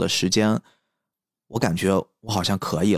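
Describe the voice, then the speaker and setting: Heard on a very clean recording with a silent background, a man speaks at a fairly slow pace, the sound dry and close with no echo. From Qingdao, China. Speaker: podcast host. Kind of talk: solo personal monologue.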